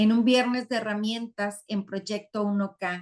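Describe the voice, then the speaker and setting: A woman's ordinary speaking voice, medium in pitch, with fairly even intonation and a fairly slow pace. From Mexico, Sinaloa. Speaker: online community host. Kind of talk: live webinar closing remarks. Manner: warm, effusive.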